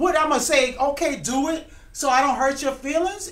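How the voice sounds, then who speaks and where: Loud and animated, a woman speaks at a moderate pace with audible room echo. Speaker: writer and producer of a TV series. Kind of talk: casual interview chat.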